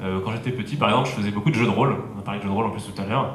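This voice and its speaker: There is noticeable background noise. Through it, a man is speaking. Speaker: startup and innovation consultant. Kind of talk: conference talk.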